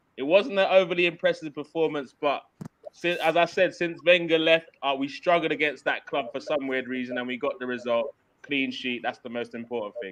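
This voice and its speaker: Here a man talks at a fairly quick pace with a fairly high pitch. His intonation is lively. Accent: London. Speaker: football podcast host. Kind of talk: casual football banter.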